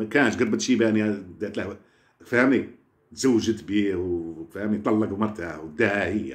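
A man's fairly low, animated voice with vocal fry, a moderate pace and ordinary pitch variation. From Algeria. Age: old. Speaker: social media personality; vlogger. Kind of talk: casual rant to viewers. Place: home room. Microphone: phone near.

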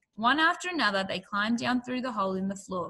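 The clip has a natural reading voice. Its intonation is lively.

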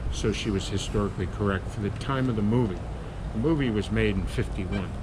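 A man at a fairly quick pace over noticeable background noise. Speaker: boat captain guide. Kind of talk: interview answer. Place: boat. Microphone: phone near.

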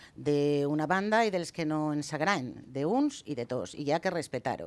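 A woman speaks in a fairly low pitch. The recording is very clean, with a silent background. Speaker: politician. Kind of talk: heated debate.

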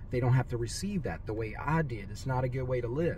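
A man speaks in a somewhat breathy voice with ordinary pitch variation over light background noise. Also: dry sound with no echo. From Louisiana. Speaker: business coach; money mindset coach. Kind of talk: motivational talk. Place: car. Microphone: phone near.

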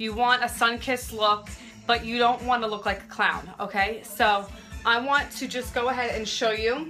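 Faint music plays in the background as the speaker talks at a moderate pace with fairly even intonation. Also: woman. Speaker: makeup live streamer. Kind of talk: casual tutorial chat. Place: home room. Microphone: phone near.

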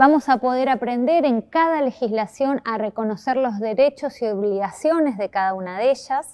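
Talking at a moderate pace with hardly any pauses, a woman uses a high pitch against a quiet background. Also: ordinary pitch variation. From Argentina, Chubut province. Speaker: course instructor. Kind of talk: course presentation video. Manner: formal. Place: classroom.

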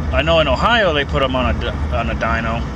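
The recording of this man is dry with no echo, though noticeable background noise comes through. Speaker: truck driver vlogger. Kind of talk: casual vlog chat. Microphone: phone near.

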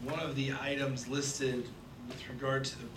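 A man's monotone, flat intonation at a moderate pace over noticeable background noise. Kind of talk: chairing a public meeting. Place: meeting room. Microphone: podium.

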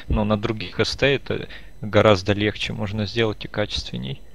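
Moderate-paced speech from a man, fairly low-pitched with vocal fry. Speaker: gaming streamer. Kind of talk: casual gameplay chat.

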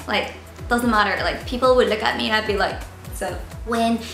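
A woman speaks with audible room echo and faint music in the background. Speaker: beauty vlogger. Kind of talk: casual vlog chat. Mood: playful and cheerful. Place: home room. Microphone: camera far.

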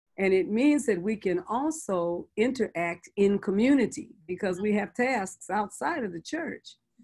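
A normal speaking voice: a woman of medium pitch with an American accent, lively in intonation, at a fairly slow pace. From US West Coast (San Francisco). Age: 60s. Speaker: bishop and pastor. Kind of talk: interview conversation.

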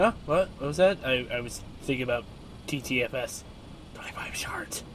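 A man whispers at a fairly slow pace. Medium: machinima. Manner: enthusiastic, distracted.

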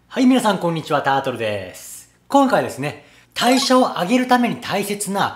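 With music in the background, a man speaks at a fairly slow pace using very wide pitch swings. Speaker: personal trainer. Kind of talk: fitness tutorial intro. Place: gym. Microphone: phone near.

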